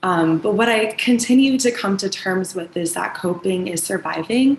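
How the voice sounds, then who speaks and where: With noticeable background noise, a woman at medium pitch talks at a moderate pace with ordinary pitch variation. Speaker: person who stutters, server. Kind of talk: personal testimony. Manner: stuttering, many fillers.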